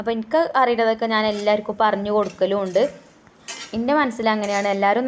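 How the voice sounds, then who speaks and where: A woman with a plain, everyday voice speaks at a fairly high pitch, her intonation fairly even. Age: 30s. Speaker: home cooking vlogger. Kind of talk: casual vlog talk while cooking. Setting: home kitchen.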